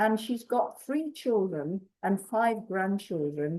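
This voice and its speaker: A woman's dark, mellow voice at medium pitch, very slow, with lively intonation. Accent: English. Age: 80s+. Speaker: community activist. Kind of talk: storytelling talk. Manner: halting.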